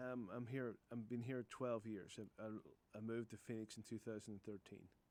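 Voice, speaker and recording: At a moderate pace, a man with an Irish accent and medium pitch speaks in a monotone, flat intonation. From Northern Ireland, Newcastle (County Down). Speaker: roofing contractor. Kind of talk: radio interview. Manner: hesitant, repeats words.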